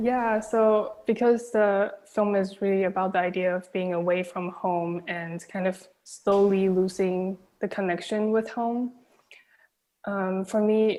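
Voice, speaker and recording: With a Chinese accent, a woman speaks at a fairly slow pace in a monotone, flat intonation and a dark, mellow tone against a quiet background. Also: medium pitch for a woman. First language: Mandarin Chinese. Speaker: film director. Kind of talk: Q&A interview.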